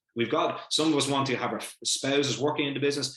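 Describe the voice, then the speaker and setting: With an Irish accent, a man talks at a fairly high pitch in an animated tone. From Ireland. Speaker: family business educator. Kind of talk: online lecture. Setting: video call.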